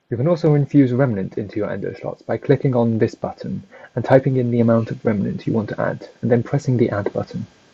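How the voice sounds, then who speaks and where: A man talks very fast with a British accent. His pitch variation is ordinary. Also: medium pitch for a man. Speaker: gaming guide creator. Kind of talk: game tutorial narration.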